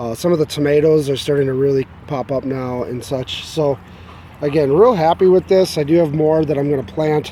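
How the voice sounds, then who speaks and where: A man talks at a fairly quick pace with ordinary pitch variation. Noticeable background noise runs underneath. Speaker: hobby gardener. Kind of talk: casual video walkthrough. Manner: halting, many fillers.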